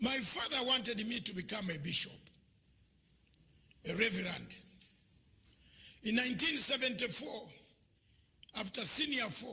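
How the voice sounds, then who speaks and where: Raising and projecting his high voice, a man with a Ugandan accent speaks with lively intonation and long, frequent pauses over noticeable background noise. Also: moderate pace. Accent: Ugandan, swaps T and D sounds. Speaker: conference speaker. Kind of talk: speech.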